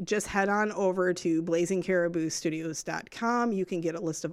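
On a very clean recording with a silent background, a woman with a normal speaking voice talks at medium pitch and a moderate pace, her intonation fairly even. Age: 40s. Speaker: podcast studio owner and producer. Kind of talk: casual chat.

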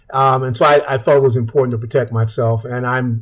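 A man speaks at a very fast pace in a somewhat breathy voice. His intonation stays fairly even. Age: 70s. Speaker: physician and public health association director. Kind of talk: radio interview. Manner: hesitant, many fillers.

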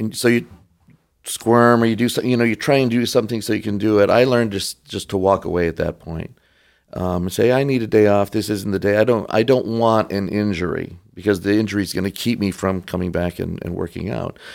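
A man has an ordinary speaking voice with a fairly low pitch, fairly even intonation and a fairly quick pace. The recording is very clean, with a silent background. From Michigan (Detroit). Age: 60s. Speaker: Orthodox priest. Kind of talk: casual chat.

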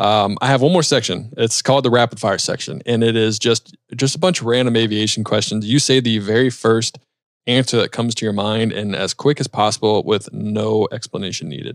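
Using an ordinary speaking voice, a man speaks at medium pitch with ordinary pitch variation. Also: fairly quick pace. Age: 30s. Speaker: aviation podcast host. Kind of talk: casual interview.

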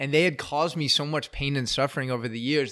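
Here a man speaks in an American accent with a bright, sharp tone. He sounds animated, and the recording is very clean with a silent background. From US West Coast, San Francisco Bay Area. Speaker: life coach. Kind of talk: interview conversation.

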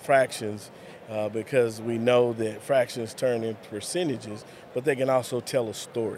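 The speaker has a West Texas accent, talking at a moderate pace with fairly even intonation. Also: man. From West Texas (Lubbock). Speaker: school superintendent. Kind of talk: interview.

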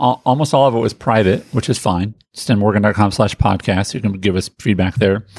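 In an unremarkable speaking voice, a man talks fairly quickly at a fairly low pitch, the sound dry and close with no echo. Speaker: podcast host. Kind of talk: podcast conversation and intro.

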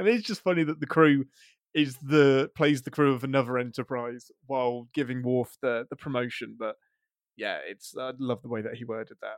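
A man speaks at a moderate pace with a British accent. His pitch is medium, and the sound is dry and close with no echo. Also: ordinary pitch variation, big swings in loudness. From England. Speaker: video writer. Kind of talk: casual chat.

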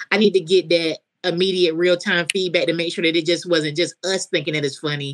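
A woman's fairly quick, monotone delivery in a North Carolina accent, fairly low in pitch, with a dry, close sound and no echo. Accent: US South, North Carolina. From coastal North Carolina. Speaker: comedian. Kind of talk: casual chat.

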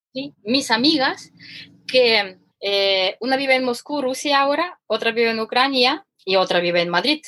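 A woman's high-pitched voice, bright and sharp, with lively intonation at a fairly slow pace. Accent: Ukrainian. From Ukraine. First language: Ukrainian or Russian (speaking Spanish). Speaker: economist and former cooking teacher. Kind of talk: casual interview. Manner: animated; halting.

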